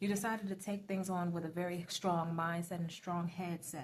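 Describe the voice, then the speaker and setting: A woman's medium-pitched, somewhat breathy voice at a fairly quick pace, with fairly even intonation. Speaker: tarot reader. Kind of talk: tarot reading. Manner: fast.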